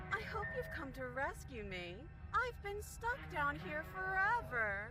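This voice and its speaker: Over loud background noise, a female-sounding put-on character voice speaks at a fairly slow pace. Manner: pleading.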